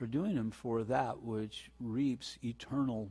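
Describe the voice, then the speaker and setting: A man speaks at medium pitch in a dark, mellow, somewhat breathy tone. His pace is fairly slow, and the recording is very clean with a silent background. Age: 60s. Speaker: pastor. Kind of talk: sermon. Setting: church.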